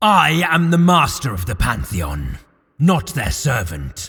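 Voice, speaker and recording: Putting on a raspy character voice, a man speaks fairly slowly at a medium pitch. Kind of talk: audio drama. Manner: persuasive, flattering.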